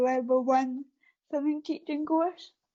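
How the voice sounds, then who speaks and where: Speaking at a fairly quick pace, a woman with a Scottish accent uses a high pitch. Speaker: para athlete. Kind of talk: interview. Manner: hesitant, many fillers.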